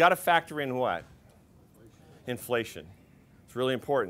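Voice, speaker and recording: A man talks at a fairly quick pace in an unremarkable speaking voice, medium in pitch with lively intonation. The recording is very clean, with a silent background. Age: 60s. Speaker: financial advisor. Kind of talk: workshop presentation. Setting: seminar room with audience. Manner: conversational, with filler words.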